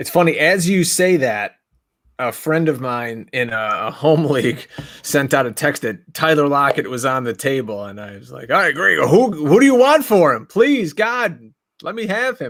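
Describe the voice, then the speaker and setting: A man talks with a fairly high pitch and very wide pitch swings. His loudness swings a lot too. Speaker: fantasy football podcast host. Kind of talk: casual podcast chat. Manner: fast.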